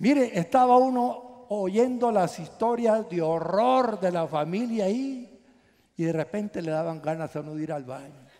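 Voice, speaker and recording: A man speaks at a high pitch with a dark, mellow tone and lively intonation. His pace is fairly slow, and the background is quiet. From Guatemala. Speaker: pastor. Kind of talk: sermon. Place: hall. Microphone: headset.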